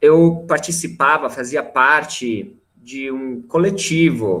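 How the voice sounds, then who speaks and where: A man with an Italian accent speaks in a bright, sharp tone with lively intonation. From Italy, near Milan. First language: Italian (speaking Portuguese). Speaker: teacher. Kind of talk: panel discussion.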